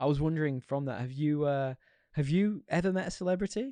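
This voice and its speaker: A man with a Yorkshire accent, fairly high-pitched yet dark and mellow in tone, talking very fast with lively intonation, in dry, close sound with no echo and a quiet background. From Yorkshire, northern England. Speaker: podcast co-host. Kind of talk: casual chat.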